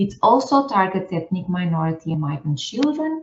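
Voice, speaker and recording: A woman with a Portuguese accent speaks in a fairly low, somewhat breathy voice. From northern Portugal, rural. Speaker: scientist and outreach organiser. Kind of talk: seminar presentation.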